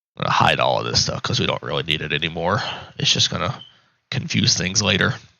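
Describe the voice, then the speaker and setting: Speaking very fast with vocal fry, a man with a very deep, low pitch makes very wide pitch swings. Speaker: RC aircraft hobbyist tutorial maker. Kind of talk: tutorial. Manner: casual, conversational.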